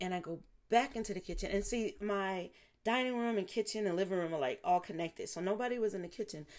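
A woman talks at a fairly quick pace in a medium pitch with ordinary pitch variation. The recording is very clean, with a silent background. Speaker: psychic podcast host. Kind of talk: casual monologue. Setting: home recording with new microphone. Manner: rambling, filler-heavy.

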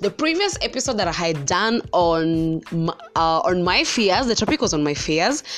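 A woman speaks with a Kenyan accent and lively intonation over noticeable background noise. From central Kenya. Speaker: podcast host. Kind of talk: personal monologue. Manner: casual, filler-heavy; high energy.

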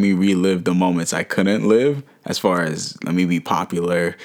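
A man at a moderate pace, an unremarkable speaking voice with ordinary pitch variation. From Harlem, New York City (born in Haiti, moved at five). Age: 20s. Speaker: podcast guest, business graduate. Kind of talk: casual chat.

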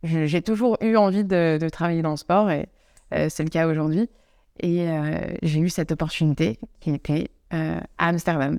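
Speaking fairly slowly, a woman has a dark, mellow tone and ordinary pitch variation. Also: fairly low pitch for a woman, very clean recording, silent background. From France, Savoie (near Chambéry). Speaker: yoga teacher working in sport. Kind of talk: casual interview chat. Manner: hesitant, many fillers.

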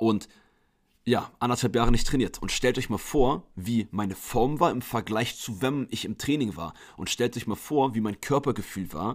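Heard in a very clean recording with a silent background, a man with a normal speaking voice talks at a moderate pace and medium pitch with ordinary pitch variation. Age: 20s. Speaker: fitness coach and podcaster. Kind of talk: solo podcast monologue. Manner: casual, chatty.

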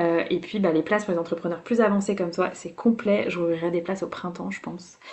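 A woman talks at a fairly quick pace with a fairly low pitch. It's a normal speaking voice, with fairly even intonation. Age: 30s. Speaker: business coach. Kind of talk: casual interview.

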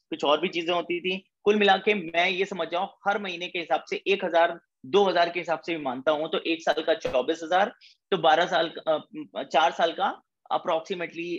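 At a moderate pace, a man talks in a high voice. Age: 20s. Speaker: network marketing leader. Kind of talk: motivational talk. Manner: animated.

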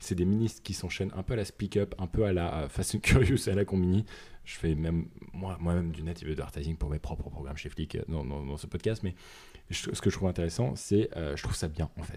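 Very deep and low, a man's dark, mellow voice moves at a fairly quick pace with ordinary pitch variation. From northern France. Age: 20s. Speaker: podcast co-host. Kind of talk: casual chat.

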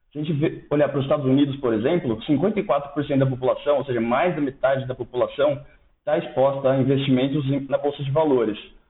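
Speaking in a plain, everyday voice, a man talks at a fairly quick pace. His pitch is fairly high and his intonation fairly even. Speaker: investment analyst. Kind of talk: podcast interview.

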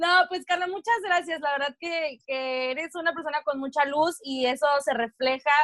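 Her pitch is high and her intonation lively. The woman speaks at a fairly slow pace. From northern Mexico. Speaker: podcast co-host. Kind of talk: casual chat.

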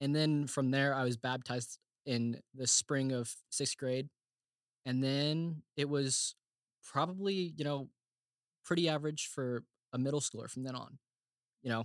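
With an American accent, a man speaks at a fairly high pitch with fairly even intonation and long, frequent pauses, the sound dry and close with no echo. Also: fairly slow pace. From Oklahoma. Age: 20s. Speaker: theology grad student. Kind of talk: casual chat.

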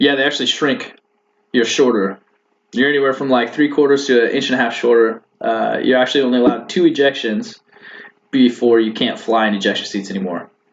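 A man speaks in a normal speaking voice at a fairly quick pace. His medium pitch shows ordinary variation. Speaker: navy officer and student pilot. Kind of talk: casual interview chat.

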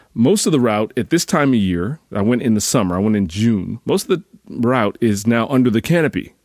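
A man with an American accent and a normal speaking voice talks at a fairly quick pace with hardly any pauses, his medium pitch carrying lively intonation. The recording is very clean, with a silent background. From US Northeast. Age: 40s. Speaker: fitness coach. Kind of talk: casual solo podcast monologue.

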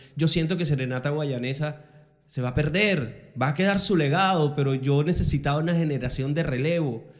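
A man talks at a fairly quick pace, his pitch fairly high with ordinary variation. Room echo is audible. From Venezuela, Ciudad Bolívar. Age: 40s. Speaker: podcast host. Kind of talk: casual interview.

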